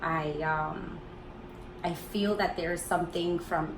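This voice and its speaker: A woman with a Spanish accent speaks at a fairly low pitch in a monotone, flat intonation, with audible room echo and noticeable background noise. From Colombia. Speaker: wellness vlogger. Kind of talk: product review vlog.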